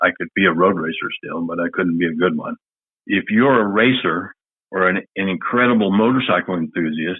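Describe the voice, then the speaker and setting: With an American accent, a man speaks at a fairly quick pace. His pitch is very deep and low, with ordinary variation. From Indiana, US Midwest. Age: 70s. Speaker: motorcycle salesman. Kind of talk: podcast interview.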